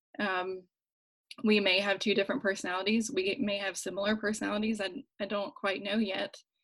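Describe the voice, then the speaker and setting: An unremarkable speaking voice from a woman at medium pitch, fairly even intonation and a fairly quick pace, with an American accent. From rural West Virginia. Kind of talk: casual chat.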